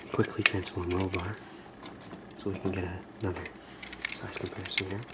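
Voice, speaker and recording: A man whispers, soft-spoken, at a fairly quick pace. Background noise is noticeable. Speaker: ASMR toy reviewer. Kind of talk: ASMR action figure review. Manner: soft-spoken, whispery.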